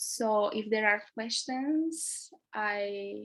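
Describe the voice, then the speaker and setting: Speaking with a Romanian accent, a woman uses a fairly high pitch with ordinary pitch variation. Her pace is very slow. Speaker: theatre artist. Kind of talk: talk. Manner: halting.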